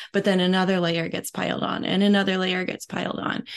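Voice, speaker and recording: A woman talks at a fairly quick pace in a medium pitch. Noticeable background noise is present. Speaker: podcast co-host and guest. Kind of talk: casual reflective chat. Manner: reflective, halting with fillers.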